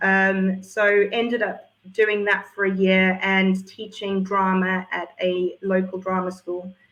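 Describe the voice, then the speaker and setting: A woman's medium-pitched voice with a South African accent. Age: 40s. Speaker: entrepreneur and former drama teacher. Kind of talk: interview.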